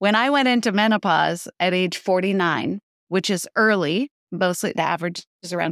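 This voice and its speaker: Recorded very cleanly against a silent background with a dry, close sound and no echo, a woman has an ordinary speaking voice at medium pitch, moderate pace and ordinary pitch variation. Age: 60s. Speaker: intermittent fasting coach. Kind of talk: interview.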